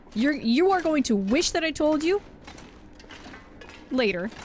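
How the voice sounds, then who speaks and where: Very wide pitch swings from a woman, amid noticeable background noise. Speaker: game streamer. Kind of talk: casual chat. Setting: live stream.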